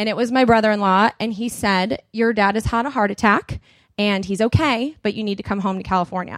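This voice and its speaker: Using a normal speaking voice, a woman talks at a fairly quick pace with a fairly high pitch. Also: very clean recording, silent background. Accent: American. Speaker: podcaster. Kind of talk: conference talk. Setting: conference stage with audience.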